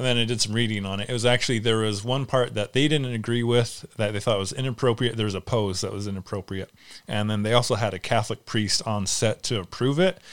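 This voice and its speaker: On a very clean recording with a silent background, a man talks at a very fast pace in a medium pitch, with ordinary pitch variation. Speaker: movie podcast host. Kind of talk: casual chat.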